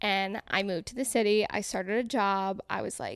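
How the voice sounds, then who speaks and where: A woman's plain, everyday voice with an American accent, medium in pitch, at a moderate pace with fairly even intonation, in a very clean recording with a silent background. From Connecticut. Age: 20s. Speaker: food content creator. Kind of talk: casual chat.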